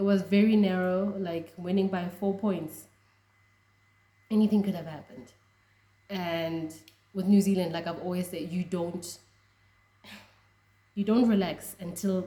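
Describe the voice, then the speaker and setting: A woman's fairly low, somewhat breathy voice with a dark, mellow tone, monotone, flat intonation, and a moderate pace. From South Africa. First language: a Southern African language. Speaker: rugby fan vlogger. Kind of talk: casual reaction vlog.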